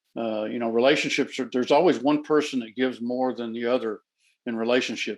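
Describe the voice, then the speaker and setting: Against a quiet background, a man with an American accent talks very fast with fairly even intonation. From Texas, Dallas. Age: 60s. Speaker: former coach, businessman. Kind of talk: interview conversation. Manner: halting, many fillers.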